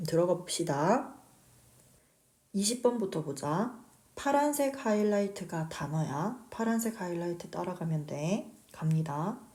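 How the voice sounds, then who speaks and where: Amid audible room echo, a somewhat breathy woman with a dark, mellow tone speaks at a fairly slow pace with very wide pitch swings. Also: medium pitch for a woman. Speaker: English teacher. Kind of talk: lecture.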